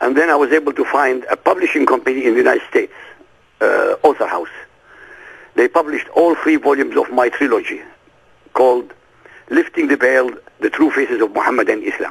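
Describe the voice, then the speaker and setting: A man with an Arabic accent, at a fairly quick pace broken by long, frequent pauses. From Iraq. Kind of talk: interview.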